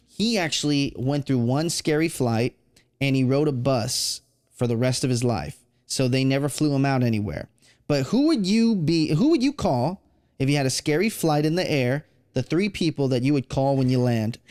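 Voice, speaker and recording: In a plain, everyday voice, a man with an American accent talks at a moderate pace and fairly high pitch, with ordinary pitch variation and very even loudness, in a very clean, dry, close recording with no echo and a silent background. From Texas. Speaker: podcast host. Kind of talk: interview.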